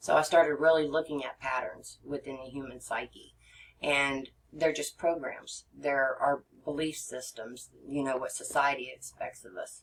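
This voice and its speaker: A woman with a very deep, low voice speaks at a moderate pace with fairly even intonation and big swings in loudness. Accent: American. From Texas. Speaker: regression therapist. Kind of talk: podcast interview. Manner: halting, many fillers.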